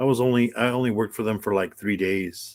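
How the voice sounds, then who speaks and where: Moderately paced, a man speaks with fairly even intonation. The recording is very clean, with a silent background. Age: 60s. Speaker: live streamer. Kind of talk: casual chat. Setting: live stream. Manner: halting, many fillers and repeats.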